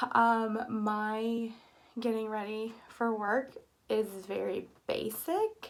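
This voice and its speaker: A woman's fairly high pitch in a monotone, flat delivery. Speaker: beauty vlogger. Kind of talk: makeup tutorial. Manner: halting, many ums.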